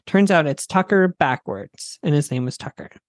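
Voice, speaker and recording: A man with a plain, everyday voice and an American accent, fairly high in pitch, with lively intonation at a moderate pace, in a dry, close sound with no echo. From US Midwest, Wisconsin and Minnesota. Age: 20s. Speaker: comedian. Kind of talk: casual chat.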